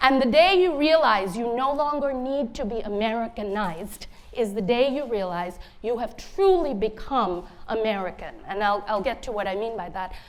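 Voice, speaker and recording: Audible room echo carries a voice in a Bengali accent with lively intonation at a moderate pace. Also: woman, fairly high pitch for a woman. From India (Bengali), then Cambridge, Massachusetts from age 10. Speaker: author. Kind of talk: conference talk.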